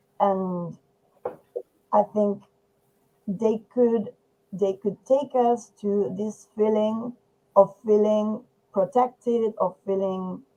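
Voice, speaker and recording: A woman with a Spanish accent speaks at a very slow pace, leaving long, frequent pauses. Her fairly high pitch carries a dark, mellow tone and fairly even intonation. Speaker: poet. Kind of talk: poetry discussion. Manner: halting.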